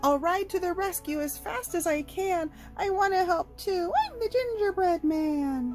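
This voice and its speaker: Over clear background music, a woman puts on a squeaky character voice at a moderate pace. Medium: read story.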